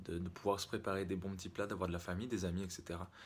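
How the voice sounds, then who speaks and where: A man's very deep, low-pitched voice at a very fast pace. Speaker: fitness vlogger. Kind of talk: vlog. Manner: hesitant, many fillers.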